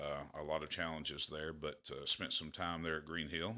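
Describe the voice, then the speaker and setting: A man with an Appalachian accent and a bright, sharp tone at a moderate pace, on a very clean recording with a silent background. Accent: southern Appalachian US. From southeastern Kentucky, McCreary County. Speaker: school principal. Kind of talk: radio interview. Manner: halting, many fillers.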